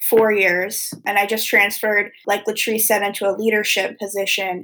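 Using a normal speaking voice, a woman with an American accent talks at a moderate pace in a fairly high pitch. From US Mid-Atlantic, Wilmington, Delaware. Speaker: peer recovery specialist. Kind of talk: interview.

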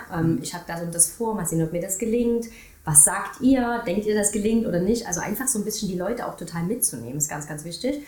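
A woman at a very fast pace with lively intonation, audible room echo and noticeable background noise. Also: medium pitch for a woman. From Saxony, Germany. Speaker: marketing agency owner. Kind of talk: casual interview chat.

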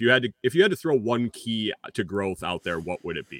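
Using a plain, everyday voice, a man talks at a medium pitch with lively intonation. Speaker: podcast host. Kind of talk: casual interview chat.

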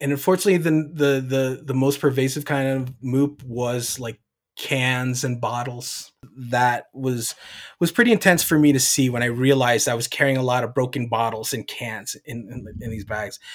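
A man with an American accent, medium pitch, an unremarkable speaking voice, fairly even intonation and a moderate pace. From New Jersey, US East Coast. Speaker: environmental restoration manager. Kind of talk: interview. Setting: live event.

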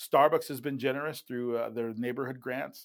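A very clean recording with a silent background captures a man talking. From Puerto Rico, raised as army child. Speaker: community nonprofit founder and minister. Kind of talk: interview. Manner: hesitant, many fillers.

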